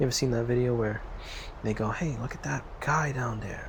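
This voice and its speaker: A man with an American accent talks at a fairly quick pace. Noticeable background noise and audible room echo surround him. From US. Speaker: VR gaming YouTuber. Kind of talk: casual gameplay commentary.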